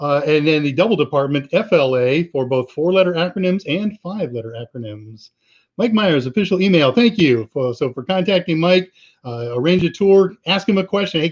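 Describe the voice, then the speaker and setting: Here is a man with an Upper Midwest accent. His pitch is fairly high and his intonation lively. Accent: Upper Midwest American. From US upper Midwest. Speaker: livestream host answering viewer questions. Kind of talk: live Q&A stream, reading chat. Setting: live online stream. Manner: casual, halting with many fillers.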